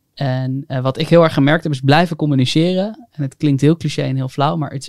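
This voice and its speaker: In an unremarkable speaking voice, a man talks at a fairly high pitch and a moderate pace, the sound dry and close with no echo. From North Holland, Haarlem. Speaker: entrepreneur. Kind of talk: casual chat.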